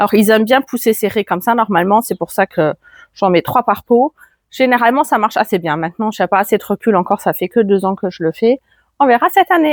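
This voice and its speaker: In a slight German accent, a woman talks very fast with a fairly high pitch and lively intonation. The sound is dry and close, with no echo. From Germany. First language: German (speaking French). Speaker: gardening youtuber. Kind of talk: garden tour vlog. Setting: outdoors in garden. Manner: casual, with hesitations.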